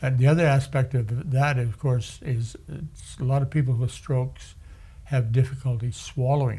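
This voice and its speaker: A man talks at a medium pitch, his tone dark and mellow. His delivery is somewhat breathy, with fairly even intonation. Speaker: stroke survivor. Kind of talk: interview. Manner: soft-spoken; halting.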